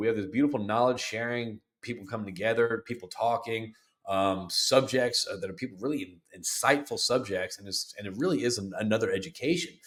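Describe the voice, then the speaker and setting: This man talks at a fairly quick pace with lively intonation. His pitch sits in the medium range. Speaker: podcast host and business founder. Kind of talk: solo podcast monologue. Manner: fast; hesitant, many fillers.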